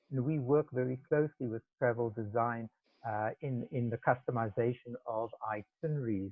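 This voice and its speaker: The speaker has a South African accent and talks at a moderate pace with fairly even intonation. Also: man. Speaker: travel industry specialist. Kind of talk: webinar presentation. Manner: speaking loudly.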